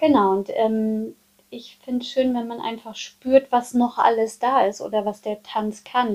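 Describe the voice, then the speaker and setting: A woman with a fairly high pitch and fairly even intonation speaks in a plain, everyday voice. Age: 40s. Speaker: dance and movement therapist. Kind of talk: casual chat.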